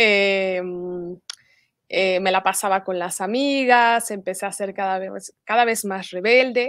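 A woman speaks very slowly with fairly even intonation. The sound is dry with no echo, over a quiet background. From Mexico (Morelia, Michoacán); Michoacán, Mexico. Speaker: religious convert sharing testimony; interview guest. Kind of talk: testimony. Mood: earnest, reflective. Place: home room.

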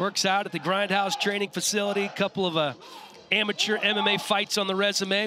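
A man speaks in a raised, projected voice, the sound dry with no echo but with noticeable background noise. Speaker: play-by-play commentator. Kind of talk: commentary.

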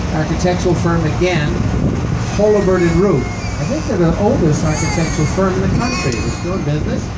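A man talks fairly quickly while loud background noise fills the recording. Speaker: boat tour guide. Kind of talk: tour commentary. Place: boat. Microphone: pa.

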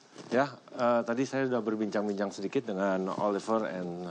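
Over light background noise comes an ordinary speaking voice at a fairly quick pace with ordinary pitch variation. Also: man. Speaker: TV host. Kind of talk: presenter explanation to camera. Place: farm machine.

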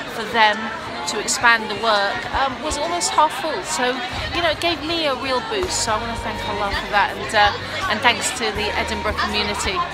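A woman talking at a fairly quick pace, dry sound with no echo, crowd noise in the background. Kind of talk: casual vlog chat. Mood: upbeat and grateful. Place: street. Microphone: phone near.

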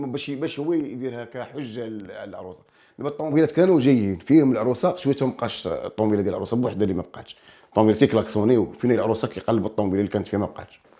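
Over a quiet background, a man at medium pitch has a dark, mellow tone and lively intonation. He talks at a very fast pace with hardly any pauses. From Morocco, Kelaat Sraghna; Morocco. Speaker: folk singer and comedian; comedian. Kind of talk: casual interview. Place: studio. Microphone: lapel.

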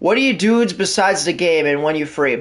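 A man with a high pitch speaks with lively intonation. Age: 20s. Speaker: gaming streamer. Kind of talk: live gameplay commentary and casual chat with viewers. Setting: live stream, talking while playing. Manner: rambling, heavy use of fillers like 'like' and 'um'.

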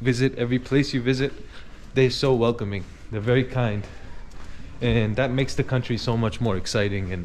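A man at a fairly quick pace with fairly even intonation, over light background noise. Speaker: travel vlogger. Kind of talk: casual vlog chat. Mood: warm, admiring. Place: street. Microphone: phone near.

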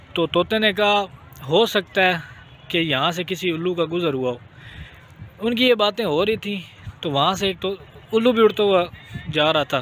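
A man speaks at a high pitch and moderate pace, with long, frequent pauses. The sound is dry with no echo, over light background noise. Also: ordinary pitch variation. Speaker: vlogger. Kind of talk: casual vlog storytelling and moral talk. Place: open country. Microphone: phone near.

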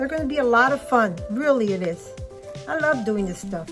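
Someone speaks at a moderate pace over clear music playing in the background. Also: woman. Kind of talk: casual craft tutorial chat. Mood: friendly, relaxed. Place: home room. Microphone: phone near.

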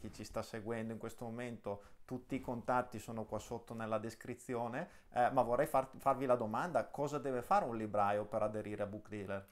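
Fairly even intonation from a man speaking at a fairly quick pace. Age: 30s. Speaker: interview show host. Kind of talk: interview. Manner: halting, many repetitions. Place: home room.

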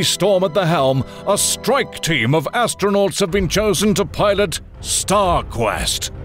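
A man with a high pitch speaks at a fairly slow pace with music in the background. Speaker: voice actor. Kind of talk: movie trailer.

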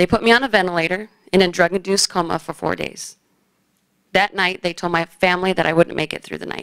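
A woman talks at a very fast pace with an American accent and vocal fry. Her intonation stays fairly even against a quiet background. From Phoenix, Arizona. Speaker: high school basketball coach and cancer survivor. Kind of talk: personal story told to an audience. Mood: serious, reflective. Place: hall. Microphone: podium.

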